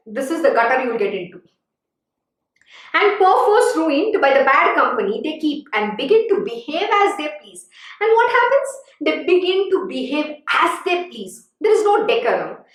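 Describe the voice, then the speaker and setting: In a room with audible echo, a woman speaks at a moderate pace with an extremely high pitch, very wide pitch swings and big swings in loudness. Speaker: spiritual teacher. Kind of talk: religious discourse. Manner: animated.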